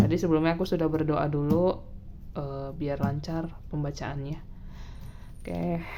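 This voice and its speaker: With a very deep, low pitch and a relaxed tone, a woman speaks at a moderate pace with lively intonation and long, frequent pauses, and the room echo is audible. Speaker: tarot reader. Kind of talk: casual tarot reading monologue. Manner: soft-spoken; relaxed, filler-heavy.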